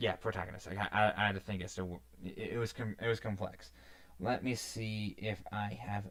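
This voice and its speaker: A normal speaking voice at a moderate pace. The pitch varies in an ordinary way. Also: man. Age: 20s. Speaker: gaming streamer. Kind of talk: casual livestream chat. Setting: live stream.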